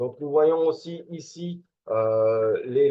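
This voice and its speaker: Lively intonation from a man at a medium pitch, at a very slow pace. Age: 40s. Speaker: network marketing promoter. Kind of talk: sales presentation. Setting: screen-share video presentation. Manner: halting, many filler words.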